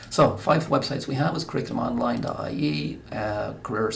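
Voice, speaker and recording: Noticeable background noise and audible room echo accompany a man speaking fairly quickly in an Irish accent. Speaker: guidance counsellor. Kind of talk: recorded presentation. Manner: fast.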